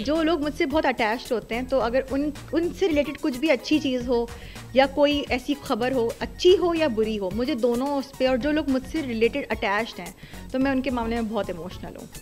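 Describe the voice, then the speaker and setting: A woman with a high pitch and ordinary pitch variation, music in the background. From Pakistan. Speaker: voice-over artist and radio jockey. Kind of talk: interview answer.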